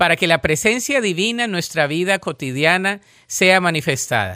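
On a very clean recording with a silent background, a man with a high pitch and a bright, sharp tone swings his pitch very widely. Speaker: devotional speaker. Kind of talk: devotional prayer. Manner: calm, warm, solemn and gentle; slow, unhurried, reverent cadence.

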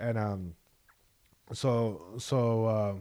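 The recording is very clean, with a silent background. A man with medium pitch speaks in an American accent. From Long Beach, California. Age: 20s. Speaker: comedian. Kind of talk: casual chat.

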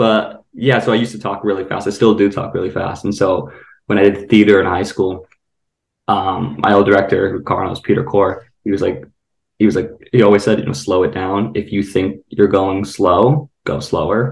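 With an American accent, a man speaks low-pitched with vocal fry, fairly even intonation and a moderate pace, in audible room echo.

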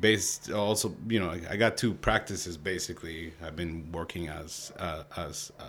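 The speaker has an American accent and a moderate pace. The intonation stays fairly even. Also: man. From Mexico City, then Los Angeles. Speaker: artist and urban workgroup coordinator. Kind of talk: casual interview. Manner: halting, many fillers.

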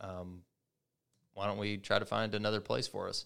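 In a very clean recording with a silent background, a man speaks at a moderate pace with monotone, flat intonation. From Kentucky (Oldham County). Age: 30s. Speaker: third-generation family business owner. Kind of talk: casual interview chat. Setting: podcast studio.

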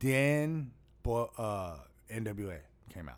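Lively intonation from a male speaker. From Las Vegas, US. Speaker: comedian. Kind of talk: casual chat.

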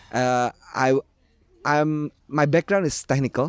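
A man with an Indonesian accent at a moderate pace, in a dry, close sound with no echo. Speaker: language enthusiast, writer. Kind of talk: panel discussion.

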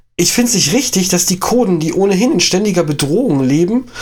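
The speech runs at a fairly quick pace with lively intonation. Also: man. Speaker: podcast co-host. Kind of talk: casual political discussion.

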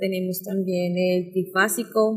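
Over music in the background, a woman talks at medium pitch with a monotone, flat intonation. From Colombia, Bogotá. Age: 20s. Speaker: interviewee. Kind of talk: interview. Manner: hesitant with many fillers.

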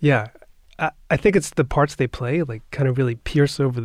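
Recorded dry and close with no echo, a man with a New York accent speaks at a moderate pace in a medium pitch with ordinary pitch variation. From Long Island, New York (Nassau County). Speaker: orchestra board president, cellist. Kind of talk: interview conversation.

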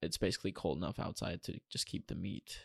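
A man with vocal fry speaks at a moderate pace, the sound dry and close with no echo. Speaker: podcast co-host. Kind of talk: casual chat.

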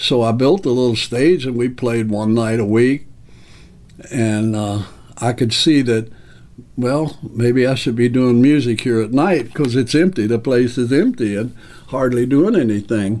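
The voice has a dark, mellow tone and ordinary pitch variation. It moves at a fairly slow pace. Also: man, medium pitch for a man. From Kentucky, Owensboro. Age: 70s. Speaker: music venue owner. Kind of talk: interview. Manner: halting.

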